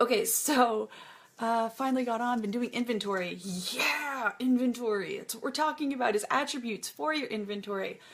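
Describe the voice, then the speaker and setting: A woman's high-pitched voice, with ordinary pitch variation and a moderate pace. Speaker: online shop seller giving tips. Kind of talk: live stream tutorial.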